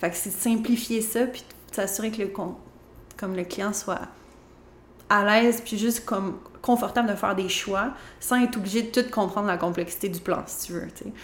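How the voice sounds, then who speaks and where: Somewhat breathy, a woman with a Quebec accent speaks at a medium pitch and moderate pace, with long, frequent pauses. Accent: Québécois French. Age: 30s. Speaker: interior designer and business owner. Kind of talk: interview.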